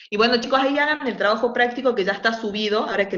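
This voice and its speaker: With audible room echo, a woman speaks very fast, her pitch varying in an ordinary way. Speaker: university lecturer. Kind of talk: online lecture; casual chat.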